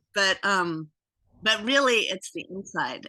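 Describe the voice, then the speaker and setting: Speaking fairly slowly in an ordinary speaking voice, a woman at medium pitch uses lively intonation. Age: 60s. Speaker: guest interviewee. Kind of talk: casual chat.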